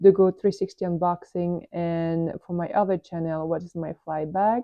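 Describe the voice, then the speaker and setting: The intonation stays fairly even. The speaker has a French accent. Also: woman. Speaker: airline pilot and productivity vlogger. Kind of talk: screen tour tutorial. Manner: casual, hesitant with fillers.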